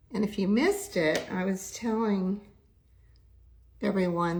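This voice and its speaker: A woman's somewhat breathy voice moves fairly slowly, its intonation fairly even. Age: 70s. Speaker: makeup and skincare livestreamer. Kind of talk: makeup tutorial livestream.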